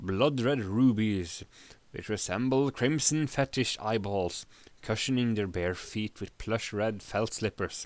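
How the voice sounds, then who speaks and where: On a very clean recording with a silent background, a man talks at a fairly slow pace and medium pitch with ordinary pitch variation in an ordinary speaking voice. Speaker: live streamer reading a story aloud. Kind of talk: audiobook-style narration of fantasy text.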